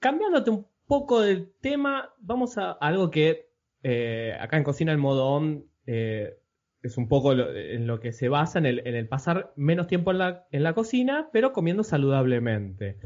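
The speech moves at a moderate pace, with very wide pitch swings. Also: man, fairly high pitch for a man. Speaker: podcast host. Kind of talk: interview.

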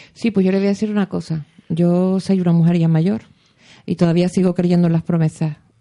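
Dry and close with no echo, a man's high-pitched voice carries a dark, mellow tone, with very even loudness and fairly even intonation. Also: fairly quick pace. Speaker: radio host. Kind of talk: radio show.

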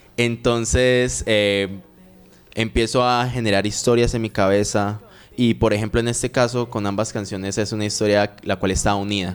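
Over music in the background, a man talks at a moderate pace with fairly even intonation and a fairly low pitch. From Colombia, Medellín. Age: 20s. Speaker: reggaeton singer. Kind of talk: interview.

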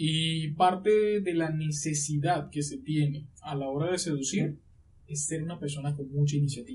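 A man talks fairly slowly at a fairly high pitch, with ordinary pitch variation. Noticeable background noise runs behind him. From Colombia, La Guajira. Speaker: lawyer. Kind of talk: podcast interview.

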